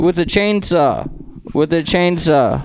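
The man speaks in a high pitch. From San Francisco, Filipino heritage. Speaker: stand-up comedian. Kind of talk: stand-up. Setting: stage with audience.

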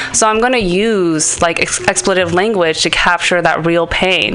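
A woman's speech is accompanied by noticeable background noise. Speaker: improv performer. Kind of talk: interview.

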